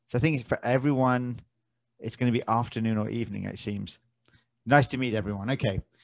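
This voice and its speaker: Speaking with an English accent, a man keeps a medium pitch with ordinary pitch variation. He talks at a very fast pace. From South London, England. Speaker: forex trading educator. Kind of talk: webinar presentation. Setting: online webinar on Zoom. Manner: halting, many fillers.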